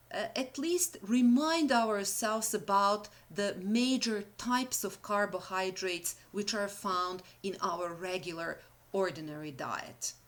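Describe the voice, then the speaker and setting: A woman of medium pitch in a Serbian accent, very slow in pace, with lively intonation, on a very clean recording with a silent background. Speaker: university lecturer. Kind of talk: lecture. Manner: halting.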